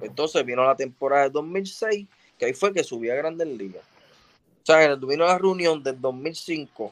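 A man speaks with an unremarkable speaking voice at a fairly high pitch. His intonation is lively and his pace moderate. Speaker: retired baseball pitcher. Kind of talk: casual chat.

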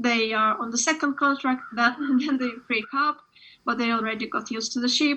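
At a fairly quick pace, a woman speaks in a high pitch with fairly even intonation. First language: Ukrainian. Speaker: author. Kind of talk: interview. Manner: halting.

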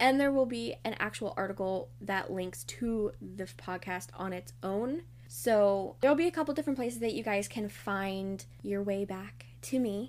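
This woman talks at a moderate pace. She hardly pauses at all. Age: 20s. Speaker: blogger and podcast host. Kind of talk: casual solo podcast monologue. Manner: chatty, informal.

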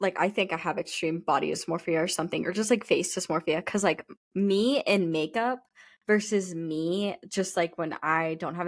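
A woman speaks at a moderate pace in an animated tone and a medium pitch. The recording is very clean, with a silent background. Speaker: podcast co-host. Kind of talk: casual chat. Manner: animated, laughing.

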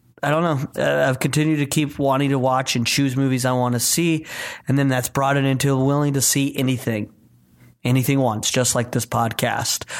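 Recorded very cleanly against a silent background, a man talks at a medium pitch and a moderate pace, with very even loudness and monotone, flat intonation. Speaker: podcast host. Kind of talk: casual chat.

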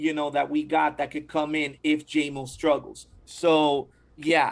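An ordinary speaking voice at a fairly slow pace. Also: man. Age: 30s. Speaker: baseball podcast host. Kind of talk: casual chat.

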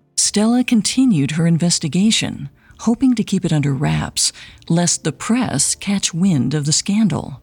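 A woman speaks at a moderate pace in a fairly low, somewhat breathy voice, with a dramatic tone and lively intonation. The sound is dry and close, with no echo. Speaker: podcast host. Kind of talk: true-crime narration. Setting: studio. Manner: measured, dramatic storytelling.

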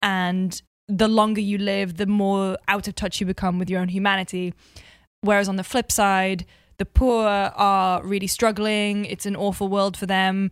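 In a Geordie accent, a woman talks at a moderate pace and medium pitch on a very clean recording with a silent background. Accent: Geordie (north-east English). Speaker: video game journalist. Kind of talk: casual chat. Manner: animated.

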